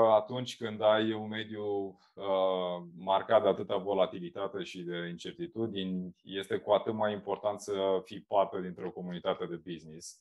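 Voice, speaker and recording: A man speaks at a moderate pace with hardly any pauses, his pitch fairly low. His loudness swings a lot against a quiet background. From Romania, Galați county (eastern Romania); Romania. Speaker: marketing agency founder, entrepreneur; podcast guest. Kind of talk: interview conversation. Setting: remote video call. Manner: hesitant with many fillers. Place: home room. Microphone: video call.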